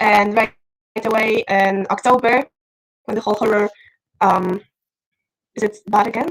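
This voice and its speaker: Speaking in a fairly high pitch with fairly even intonation, a woman keeps a moderate pace broken by long, frequent pauses. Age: 20s. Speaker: student activist. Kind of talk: panel discussion talk.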